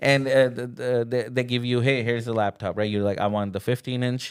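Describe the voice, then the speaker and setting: A man with a non-native accent speaks at a medium pitch in a very clean recording with a silent background. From India. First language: not English. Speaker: video producer, podcast host. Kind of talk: casual chat.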